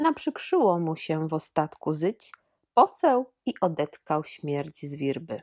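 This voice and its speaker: The delivery is very slow, with lively intonation. The sound is dry and close, with no echo. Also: woman. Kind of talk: storytelling in highland dialect, read-aloud folk tale. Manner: old mountain storyteller voice, slow, animated, dialect-coloured.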